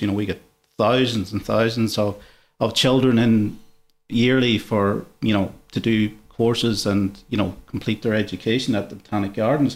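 A man with an Irish accent, moderate pace and fairly even intonation, on a very clean recording with a silent background. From Ireland. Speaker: botanic garden curator manager. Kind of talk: interview.

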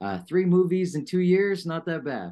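A dark, mellow tone comes through at a moderate pace over a quiet background. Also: man. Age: 30s. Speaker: filmmaker. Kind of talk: interview. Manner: halting.

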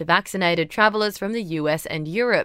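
A woman with an Australian accent at medium pitch, with lively intonation and a fairly quick pace, on a very clean recording with a silent background. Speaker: news presenter. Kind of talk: formal newsreading. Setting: studio. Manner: brisk, crisp bulletin delivery; even, neutral newsreader tone.

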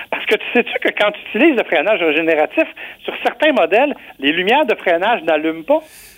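Fairly quick and high-pitched, this man's voice moves through very wide pitch swings. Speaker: car columnist. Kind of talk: casual chat.

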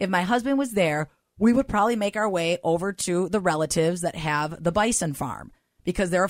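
An ordinary speaking voice from a woman at medium pitch, with ordinary pitch variation and a fairly quick pace, in a very clean, dry, close recording with a silent background and no echo. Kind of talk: casual chat.

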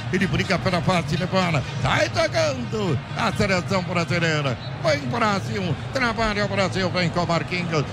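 A man with a high voice and lively intonation speaks amid audible room echo and noticeable background noise. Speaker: football radio play-by-play announcer. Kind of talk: live commentary.

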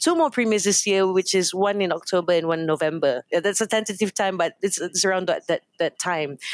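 A woman talks at a medium pitch with ordinary pitch variation. The recording is very clean with a silent background, and the sound is dry and close with no echo. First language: Hokkien. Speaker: company founder and CEO. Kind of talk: radio interview. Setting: studio.

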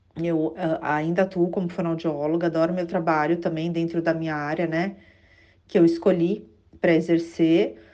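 This woman's voice sits fairly low, with a dark, mellow tone. She speaks at a moderate pace in a monotone, flat intonation. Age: 40s. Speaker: author and speech therapist. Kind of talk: interview. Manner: hesitant, many fillers.

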